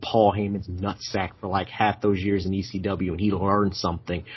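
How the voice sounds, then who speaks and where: At a moderate pace, a man speaks in a fairly low, somewhat breathy voice. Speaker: wrestling show host. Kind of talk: casual chat. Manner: animated.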